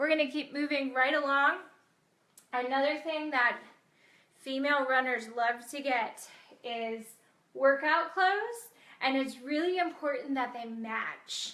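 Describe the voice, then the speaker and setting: Raised and projected, the voice has a bright, sharp tone, ordinary pitch variation, and a fairly slow pace broken by long, frequent pauses. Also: woman, high pitch for a woman. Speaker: chiropractor-style health doctor hosting a live video. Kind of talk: casual live-stream talk. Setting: live video stream.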